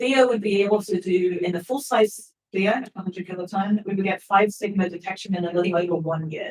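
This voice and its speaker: The speech moves at a fairly quick pace. There are hardly any pauses. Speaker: physicist. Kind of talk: conference talk. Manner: fast.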